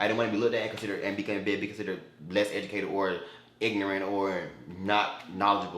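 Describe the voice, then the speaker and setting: Audible room echo carries the voice of a man with an American accent and a fairly low pitch. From Florida. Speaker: YouTuber. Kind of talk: casual vlog Q&A. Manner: halting with repetitions; animated.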